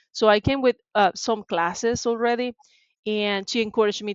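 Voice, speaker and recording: A woman speaks with a Venezuelan accent, her sound dry and close with no echo against a quiet background. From Venezuela, Maracaibo. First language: Spanish. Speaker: tech sales professional. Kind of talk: interview.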